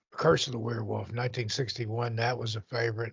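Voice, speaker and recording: The man's pitch is medium. He speaks at a very fast pace. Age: 60s. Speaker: podcast guest. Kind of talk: casual chat.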